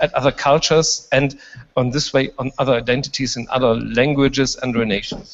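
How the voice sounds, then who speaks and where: In a German accent, a man speaks at a fairly quick pace. His pitch is fairly high, with ordinary variation. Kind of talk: panel discussion. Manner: halting.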